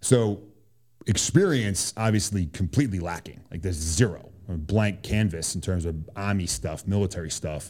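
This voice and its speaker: A man's very deep, low voice in a Boston accent, with ordinary pitch variation at a moderate pace. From Boston, Massachusetts. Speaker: Army special forces soldier. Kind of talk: casual interview.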